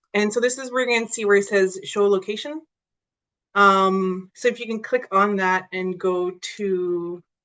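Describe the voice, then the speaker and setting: A woman talks with ordinary pitch variation. The background is quiet. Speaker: software trainer / outreach presenter; software trainer, presenter. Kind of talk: tutorial workshop. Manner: fast; casual, with many fillers. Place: home room.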